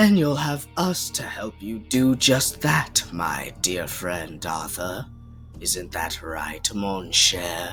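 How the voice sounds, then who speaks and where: Clear music plays behind a man doing a cartoonish character voice, fairly low in pitch and very slow, with very wide pitch swings. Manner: suave, flirty.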